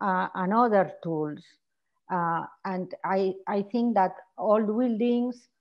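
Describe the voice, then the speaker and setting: A woman's medium-pitched voice moves very slowly, its pitch varying in an ordinary way. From Spain. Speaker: architecture researcher and teacher. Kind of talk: Q&A at an academic lecture. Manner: halting.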